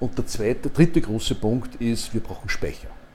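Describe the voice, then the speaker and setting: Male speech of moderate pace, dark and mellow in tone, with ordinary pitch variation. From Upper Austria. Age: 60s. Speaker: retired energy company executive. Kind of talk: interview.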